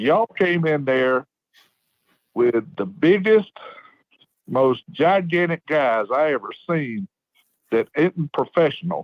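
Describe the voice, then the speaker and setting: In a Southern US accent, the speaker goes at a very slow pace with lively intonation and long, frequent pauses. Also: man, fairly high pitch for a man. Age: 60s. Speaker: caller, local football fan. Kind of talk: phone-in chat. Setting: phone call. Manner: animated.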